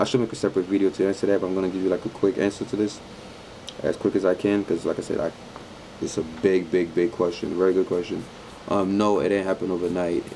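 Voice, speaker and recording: A man's very deep, low voice at a very fast pace, with noticeable background noise. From French-speaking country, moved to Harlem, New York at eleven. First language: French. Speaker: fitness vlogger. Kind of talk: casual vlog Q&A. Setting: laundromat. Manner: animated.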